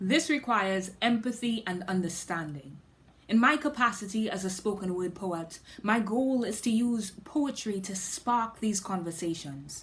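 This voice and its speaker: The woman's somewhat breathy voice sits at a medium pitch and carries lively intonation. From Trinidad and Tobago. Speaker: spoken word poet. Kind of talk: scripted talk; poetry performance.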